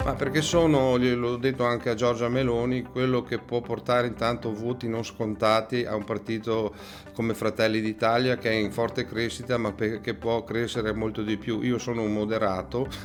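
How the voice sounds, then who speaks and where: Over music in the background, a man with a medium-pitched voice talks at a moderate pace in a monotone, flat delivery. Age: 60s. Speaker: political candidate. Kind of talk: campaign interview. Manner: hesitant, with frequent fillers.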